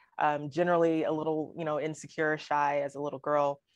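Against a quiet background, a woman with a very deep, low voice talks at a fairly quick pace in a slight Southern US accent. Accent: barely any Southern. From Alabama. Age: 30s. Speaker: poet laureate. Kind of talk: interview.

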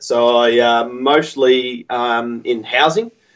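This is a man speaking with an Australian accent. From Melbourne, Australia. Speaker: pipe maker. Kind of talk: casual interview chat. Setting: video or phone call, late at night.

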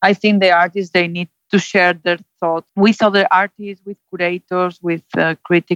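In a Spanish accent, a woman speaks at a moderate pace and medium pitch with monotone, flat intonation, the sound dry and close with no echo. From Spain, Zaragoza. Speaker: gallery director. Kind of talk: interview. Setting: Skype call. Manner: halting, many fillers.

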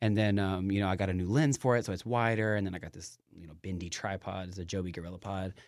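A man with a very deep, low pitch talks at a very fast pace with hardly any pauses and big swings in loudness. The recording is very clean, with a silent background. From Knoxville, Tennessee. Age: 20s. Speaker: aspiring YouTuber and fitness vlogger. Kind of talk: casual chat. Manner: animated, passionate, talkative.

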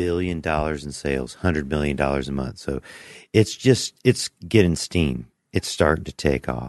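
Over a quiet background, a man talks at a moderate pace with a very deep, low pitch and ordinary pitch variation. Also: dry, close sound with no echo. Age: 40s. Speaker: podcast host, cannabis grower. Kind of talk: casual interview chat.

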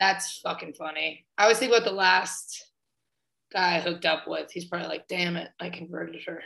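Fairly quick and fairly even in intonation, a woman's fairly low voice has a bright, sharp tone, vocal fry and big swings in loudness. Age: 20s. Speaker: comedian. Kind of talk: casual chat. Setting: video call.

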